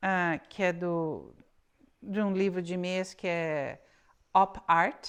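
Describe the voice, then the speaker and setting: A woman at a medium pitch on a very clean recording with a silent background. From Brazil. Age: 60s. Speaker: knitting podcaster. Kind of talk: casual chat. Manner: halting.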